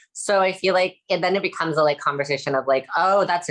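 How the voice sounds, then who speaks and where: A woman's very fast speech with ordinary pitch variation. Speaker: costume designer panelist. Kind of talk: panel discussion. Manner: casual, filler-heavy.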